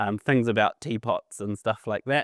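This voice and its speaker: This is a very clean recording with a silent background. It has a dry, close sound with no echo. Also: man. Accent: New Zealand. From New Zealand, Auckland. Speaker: animation and visual effects lecturer. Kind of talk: conference talk. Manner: many fillers, halting.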